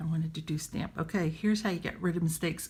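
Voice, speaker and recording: A somewhat breathy woman speaks with an American accent. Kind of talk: casual app tutorial demo.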